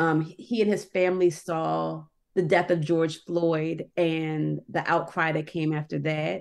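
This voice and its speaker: An unremarkable speaking voice from a woman with an American accent, fairly low in pitch, with ordinary pitch variation and a fairly slow pace. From Annapolis, Maryland, US. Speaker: newspaper editor. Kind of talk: interview.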